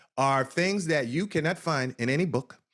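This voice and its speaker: In a New Jersey accent, a man speaks with an animated tone at a fairly high pitch. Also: very clean recording, silent background. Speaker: cannabis business consultant. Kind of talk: interview. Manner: fast.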